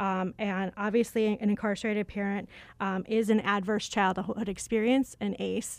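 In a very clean recording with a silent background, a woman speaks with a Chicago accent at a medium pitch. Her pace is fairly quick and her intonation monotone and flat. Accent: Chicago Midwestern. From Chicago, US Midwest. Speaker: communications and events manager. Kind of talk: radio interview.

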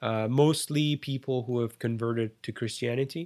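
Very clean recording with a silent background, a man at a medium pitch and moderate pace with an Iranian accent. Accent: Iranian (Persian) accent in English. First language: Persian. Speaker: refugee sharing migration story. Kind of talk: interview, personal testimony. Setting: home studio.

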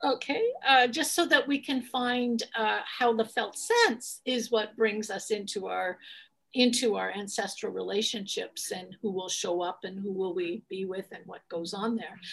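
A woman at a fairly high pitch has an unremarkable speaking voice and ordinary pitch variation. She talks at a fairly slow pace with big swings in loudness. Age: 60s. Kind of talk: interview; guided meditation. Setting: video call.

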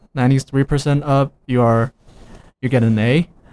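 A man speaks with a Chinese accent at medium pitch. The recording is dry and close, with no echo. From China. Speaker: international student. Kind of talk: casual radio interview. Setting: radio studio. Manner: halting, hesitant.

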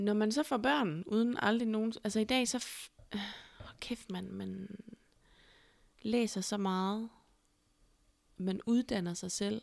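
A woman speaks at a very slow pace, with long, frequent pauses. Her voice sits at a fairly high pitch with ordinary pitch variation. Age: 30s. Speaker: podcast host. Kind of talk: casual chat.

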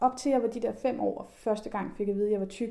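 At a moderate pace, a woman speaks in a fairly high pitch with a dark, mellow tone and fairly even intonation. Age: 30s. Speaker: journalist and body activist. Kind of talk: casual chat.

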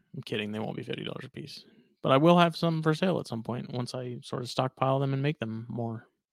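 With an unremarkable speaking voice, a man speaks fairly quickly at a medium pitch with ordinary pitch variation. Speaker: podcast co-host and reptile keeper. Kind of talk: casual chat.

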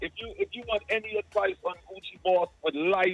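A man speaks with a slight Jamaican accent. His pace is moderate. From Guyana and Jamaica. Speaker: music artist and event promoter. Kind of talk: casual interview. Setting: phone call.

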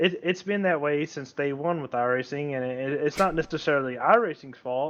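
A plain, everyday voice, a man's, fairly high in pitch and fairly quick, with ordinary pitch variation. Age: 20s. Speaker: sim racer. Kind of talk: casual chat.

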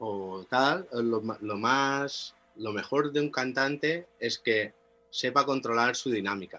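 Very slowly, a man speaks with a bright, sharp tone at a medium pitch, his pitch varying in an ordinary way. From Mallorca, Spain (Inca). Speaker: music producer and musician. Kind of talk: interview.

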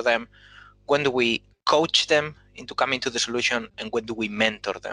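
Recorded with a dry, close sound and no echo, a man with a Spanish accent speaks at a medium pitch and a moderate pace in a bright, sharp tone. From Spain. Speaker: engineering manager. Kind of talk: panel discussion.

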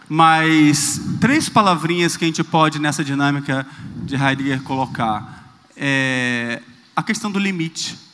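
Using a fairly high pitch with ordinary pitch variation, a man speaks at a fairly slow pace. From Rio de Janeiro, Brazil. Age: 30s. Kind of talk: talk on stage.

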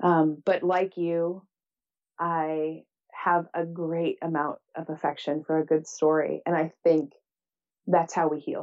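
Her voice sits at a fairly low pitch, and this woman's intonation is monotone and flat. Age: 40s. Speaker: writer and public speaker, business coach. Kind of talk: casual interview chat.

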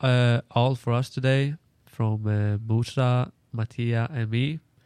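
In a Swedish accent, a man with a medium pitch and fairly even intonation is heard with a dry, close sound with no echo against a quiet background. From Sweden. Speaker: international college student. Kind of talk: casual chat.

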